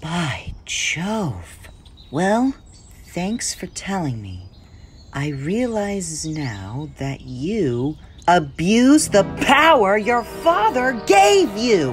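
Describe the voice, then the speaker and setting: Very slow delivery in a put-on character voice, pitched in the middle range. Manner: defiant, indignant.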